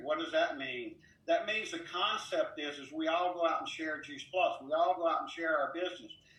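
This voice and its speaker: Over noticeable background noise and audible room echo, a man with an American accent speaks at a moderate pace. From South Louisiana, Baton Rouge. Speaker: network marketing speaker. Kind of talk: motivational talk.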